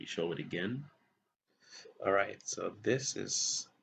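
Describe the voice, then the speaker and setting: This man speaks at a very slow pace. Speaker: coding tutorial youtuber. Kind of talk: tutorial. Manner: casual, hesitant with many fillers.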